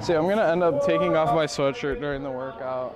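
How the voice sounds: Fast speech from a man with fairly high pitch and ordinary pitch variation, faint noise behind him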